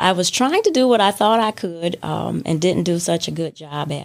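A woman with an American accent talks at a moderate pace, her pitch medium with ordinary variation. She has a plain, everyday voice. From Detroit. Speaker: coffee shop owner. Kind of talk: interview.

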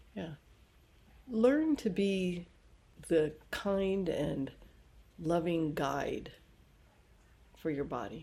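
Dark, mellow female voice, fairly low in pitch, very slow, with lively intonation and long, frequent pauses. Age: 60s. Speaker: yoga and Ayurveda teacher. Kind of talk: podcast monologue.

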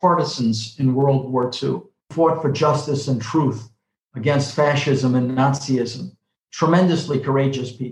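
A somewhat breathy man with a New York accent, fairly even intonation and a fairly slow pace. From New York City (the Bronx). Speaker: professor and author, former diplomat. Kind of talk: interview.

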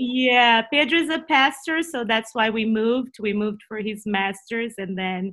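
A woman's bright, sharp voice in a Brazilian accent, fairly high in pitch, with ordinary pitch variation, hardly any pauses and a quiet background. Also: moderate pace. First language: Portuguese. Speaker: Bible teacher. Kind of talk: interview.

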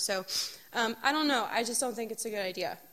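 The woman's voice sits at a fairly high pitch. The recording is very clean, with a silent background. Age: 20s. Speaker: youth group speaker. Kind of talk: youth group talk.

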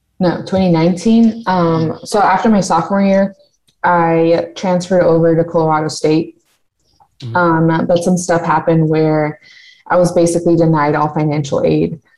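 The speaker has a normal speaking voice with an American accent. The intonation stays fairly even at a moderate pace. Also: woman, fairly low pitch for a woman. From California and Mexico (Jalisco family). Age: 20s. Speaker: student, podcast guest. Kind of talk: casual chat.

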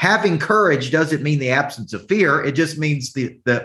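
With a Southern US accent, a man with a fairly high pitch speaks in an animated tone and lively intonation. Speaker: business coach. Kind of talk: motivational coaching talk. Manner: animated, motivational.

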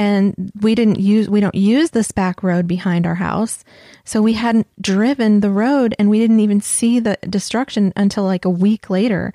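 A woman's medium-pitched, dark, mellow voice at a moderate pace, with fairly even intonation and very even loudness, dry and close with no echo on a very clean recording with a silent background. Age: 40s. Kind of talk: casual religious chat.

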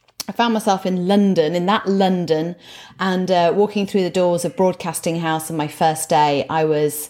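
A woman's fairly low voice with a northern English accent, ordinary pitch variation and a moderate pace. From northern England. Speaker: motivational speaker. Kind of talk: interview. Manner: chatty.

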